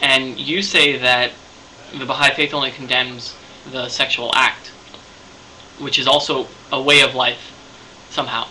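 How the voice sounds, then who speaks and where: Amid noticeable background noise, a man of medium pitch talks at a moderate pace with fairly even intonation and long, frequent pauses. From Canada. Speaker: video blogger. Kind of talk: video response monologue. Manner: halting, many fillers.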